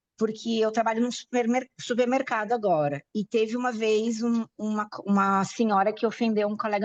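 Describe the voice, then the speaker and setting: Dry and close with no echo, the recording carries speech at an even, middling speed. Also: woman. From Brazil. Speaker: class participant. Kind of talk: personal testimony in online class. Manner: halting.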